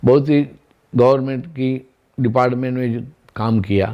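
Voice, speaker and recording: This man has a dark, mellow tone. His intonation is fairly even. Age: 60s. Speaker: retired government officer. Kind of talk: testimony.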